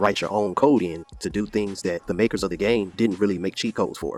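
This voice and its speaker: A man's normal speaking voice with fairly even intonation, dry and close with no echo. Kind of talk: casual rant to camera.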